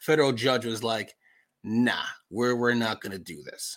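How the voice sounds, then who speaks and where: On a very clean recording with a silent background, a man with an American accent speaks at a moderate pace at medium pitch in a plain, everyday voice. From New York (Long Island). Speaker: political podcast host. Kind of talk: casual commentary.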